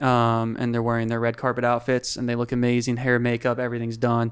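A man speaks with an American accent at a medium pitch in a monotone, flat intonation. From US Pacific Northwest, Whidbey Island, Washington. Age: 20s. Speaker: photographer and video director. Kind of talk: casual chat.

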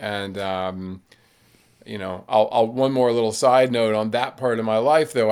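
The recording is very clean with a silent background, and a man speaks in a plain, everyday voice at a medium pitch with ordinary pitch variation. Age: 60s. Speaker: writer, ultrarunner and public speaker. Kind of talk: casual interview conversation.

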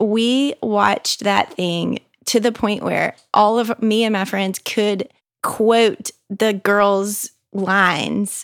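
A woman with a Southern US accent, very slow and medium-pitched, her intonation fairly even, on a very clean recording with a silent background. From US South, Mississippi. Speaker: mother. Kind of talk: casual chat.

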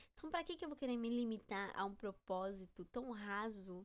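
A woman talking at a moderate pace. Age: 20s. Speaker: podcaster. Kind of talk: casual monologue.

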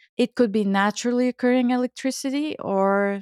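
Speaking with a Bulgarian accent at a moderate pace with ordinary pitch variation, the voice comes through as a dry, close sound with no echo on a very clean recording with a silent background. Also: woman. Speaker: Ayurvedic chef and cookbook author. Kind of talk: casual interview conversation.

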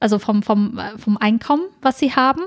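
This woman's voice sits fairly high and is somewhat breathy. The sound is dry and close, with no echo. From northern Germany, Ostfriesland. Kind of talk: casual chat.

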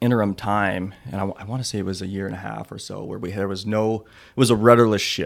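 An ordinary speaking voice with an American accent moves at a fairly quick pace with hardly any pauses, big swings in loudness and fairly even intonation, on a very clean recording with a silent background. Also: man. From Washington state, US. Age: 30s. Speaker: plumbing business owner and athlete. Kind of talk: interview.

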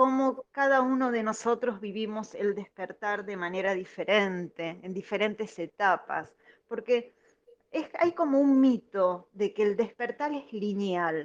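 With an ordinary speaking voice, a woman at fairly high pitch speaks at a fairly slow pace, her intonation lively. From Argentina, Buenos Aires. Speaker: caller. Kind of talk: call-in comment.

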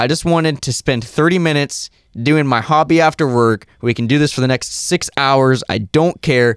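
A man speaks in a normal speaking voice at a fairly high pitch, with a moderate pace and ordinary pitch variation. The very clean recording has a silent background and a dry, close sound with no echo. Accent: American. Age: 20s. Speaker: podcast co-host. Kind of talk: casual comedic chat.

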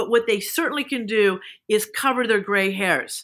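On a very clean recording with a silent background, a woman with an unremarkable speaking voice and fairly high pitch talks at a moderate pace with lively intonation. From Kansas, US. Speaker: beauty entrepreneur. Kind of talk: interview conversation.

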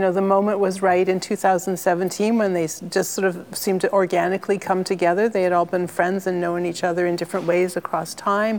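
A woman's medium-pitched voice with a Canadian accent, monotone, flat intonation, very even loudness, a moderate pace, hardly any pauses and noticeable background noise. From Ontario, Canada. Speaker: curator. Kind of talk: interview. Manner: halting, many repetitions.

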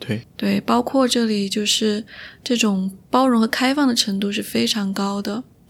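Somewhat breathy speech comes at a fairly slow pace in a very clean recording with a silent background. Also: woman, fairly high pitch for a woman, ordinary pitch variation. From Chengdu, Sichuan. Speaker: podcast host. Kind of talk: casual chat. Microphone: new microphone.

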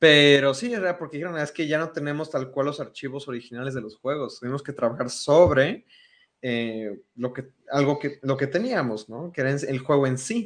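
A man's plain, everyday voice at a fairly high pitch, with ordinary pitch variation and a moderate pace. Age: 20s. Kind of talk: casual chat.

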